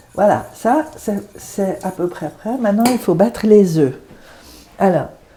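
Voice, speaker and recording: A woman speaks at a very slow pace in a medium pitch, her pitch swinging very widely. Background noise is noticeable. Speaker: retired translator. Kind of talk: casual chat. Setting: at home, cooking.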